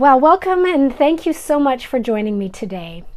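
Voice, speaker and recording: A woman speaks with lively intonation. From Canada, Manitoba. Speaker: craft YouTuber. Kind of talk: casual vlog chat. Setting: filming indoors at home.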